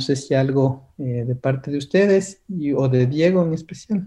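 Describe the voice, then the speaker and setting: A man speaks at a fairly slow pace with a fairly high pitch and ordinary pitch variation. His voice is somewhat breathy, with a dark, mellow tone. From Ecuador. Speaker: workshop lecturer. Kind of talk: online seminar lecture.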